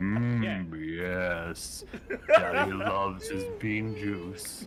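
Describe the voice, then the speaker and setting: A man puts on a character voice at a fairly low pitch. He speaks at a very slow pace over clear background noise. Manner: comical, silly.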